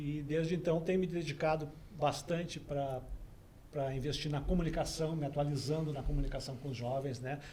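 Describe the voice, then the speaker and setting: A man speaks with fairly even intonation, with audible room echo and noticeable background noise. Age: 60s. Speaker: volunteer teacher. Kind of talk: interview conversation.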